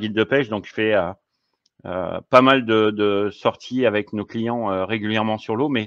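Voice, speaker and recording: The speaker is a man with a fairly low pitch. His intonation is fairly even. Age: 50s. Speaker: fishing equipment advisor and fishing guide. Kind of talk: casual interview. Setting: podcast recording. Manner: halting, many hesitations.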